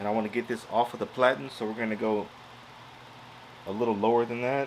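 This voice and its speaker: Loud and at a very fast pace, a man talks in a medium pitch. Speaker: crafting YouTuber. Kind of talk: tutorial. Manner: casual.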